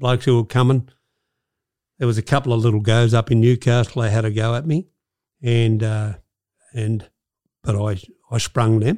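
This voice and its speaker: A man with a strong Australian accent speaks at a medium pitch in a dark, mellow tone, with fairly even intonation and a moderate pace. Long, frequent pauses break his speech, and the sound is dry and close with no echo. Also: very clean recording, silent background. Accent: broad Australian. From Australia, Sydney. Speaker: former gangster. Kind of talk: interview storytelling.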